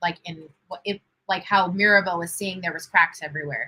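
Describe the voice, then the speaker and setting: This woman's voice has a bright, sharp tone. She speaks at a moderate pace. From Venezuela. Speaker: livestream watch party host. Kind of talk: casual livestream chat. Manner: chatty, many fillers.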